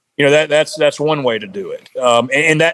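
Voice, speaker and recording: Dry and close with no echo, the voice comes with an American accent. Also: man. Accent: Southern US, redneck. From South Carolina. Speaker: bowhunter and outdoor gear business owner. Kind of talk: podcast interview. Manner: repetitive, halting.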